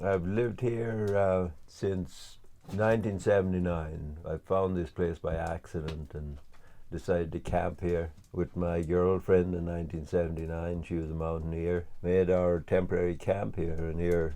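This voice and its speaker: Here a man speaks at a fairly slow pace, his pitch very deep and low. His tone is dark and mellow, with fairly even intonation. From west of Ireland. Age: 60s. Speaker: interviewee, rural homesteader. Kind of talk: personal interview testimony. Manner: halting, many fillers and restarts.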